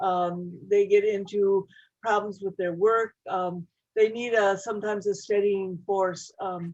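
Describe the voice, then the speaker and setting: A woman's medium-pitched voice at a fairly slow pace, monotone and flat in intonation. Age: 70s. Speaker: church member asking questions. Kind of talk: casual chat. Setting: video call. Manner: halting.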